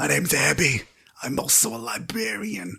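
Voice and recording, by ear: A woman's put-on character voice, very deep and low, gravelly and raspy, at a moderate pace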